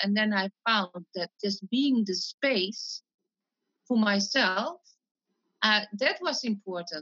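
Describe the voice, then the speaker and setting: A woman with a Dutch accent talks at a very slow pace, her fairly high voice showing lively intonation between long, frequent pauses. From Netherlands. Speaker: mind-calming coach. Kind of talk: interview.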